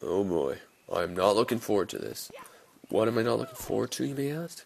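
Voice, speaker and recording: A man speaks at a fairly quick pace while noticeable background noise carries on. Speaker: video game let's player. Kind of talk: let's play commentary. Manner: casual, rambling.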